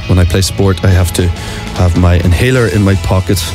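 Clear music plays in the background as a man with a very deep, low pitch speaks in a dry sound with no echo. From Ireland. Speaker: actor. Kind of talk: radio interview, playful game answers. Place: studio. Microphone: studio mic.

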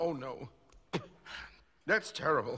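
A man's cartoonish character voice, medium in pitch with a bright, sharp tone and a slightly husky edge, slow in pace, with ordinary pitch variation

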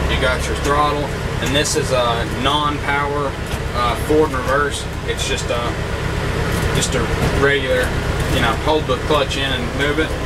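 The speech moves at a moderate pace with long, frequent pauses. Loud background noise runs throughout. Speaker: tractor owner. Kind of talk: casual review walkthrough. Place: farm machine. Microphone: phone near.

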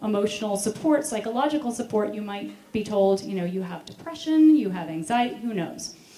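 Faint background music and audible room echo surround a woman speaking with an American accent. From United States. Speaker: speaker on veganism; speaker. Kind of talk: conference talk. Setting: stage with audience. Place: stage. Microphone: handheld.

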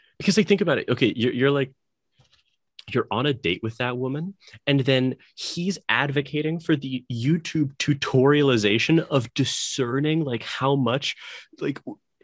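With ordinary pitch variation, the man keeps a moderate pace. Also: quiet background. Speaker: podcast co-host. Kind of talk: casual discussion. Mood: amused, laughing. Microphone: video call.

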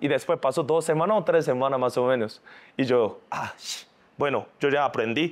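Speaking at a moderate pace, a man has a Korean accent and a fairly high pitch. His tone is animated. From South Korea. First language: Korean (speaking Spanish). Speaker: singer and influencer; influencer. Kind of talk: casual interview. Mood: lively storytelling, laughing. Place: studio.

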